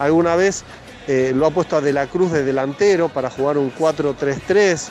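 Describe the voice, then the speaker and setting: A man with a Rioplatense accent speaks at a fairly high pitch with ordinary pitch variation. Noticeable background noise sits behind him. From Argentina. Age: 50s. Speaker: football journalist. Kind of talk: interview.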